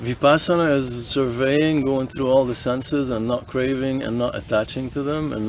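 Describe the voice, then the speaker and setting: With noticeable background noise, a man speaks at a moderate pace and a medium pitch, his intonation fairly even. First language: not English. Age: 40s. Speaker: hostel guest. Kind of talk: casual chat. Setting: hostel gathering around a campfire.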